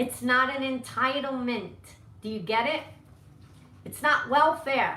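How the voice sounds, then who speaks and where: A woman's raised, projected voice, high-pitched and animated, with lively intonation and audible room echo. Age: 60s. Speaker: political vlogger. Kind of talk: live-stream rant. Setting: home live stream. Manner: confrontational.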